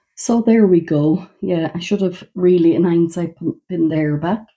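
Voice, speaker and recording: In an Irish accent, the speaker talks at a fairly slow pace with a dark, mellow tone and ordinary pitch variation. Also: woman. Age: 60s. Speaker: beauty vlogger. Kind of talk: makeup get-ready-with-me demonstration. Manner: casual, conversational.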